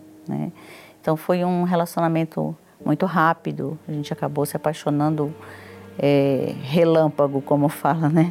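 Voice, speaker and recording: A woman with a very deep, low pitch, fairly even intonation and a moderate pace, with music in the background. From Brazil, Ceará. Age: 50s. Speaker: businesswoman. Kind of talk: testimony.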